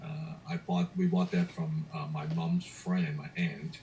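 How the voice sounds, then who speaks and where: Speaking at a very slow pace, a man talks with a Cantonese accent. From Hong Kong, moved to Canada at 16. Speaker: entrepreneur and motivational speaker. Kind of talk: motivational talk.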